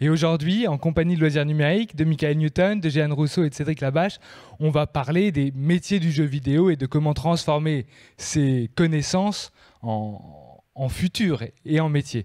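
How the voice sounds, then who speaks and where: Against a quiet background, a man with a dark, mellow tone speaks at a fairly slow pace, keeping very even loudness and ordinary pitch variation. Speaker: event host. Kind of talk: event hosting. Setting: stage with audience. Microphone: handheld.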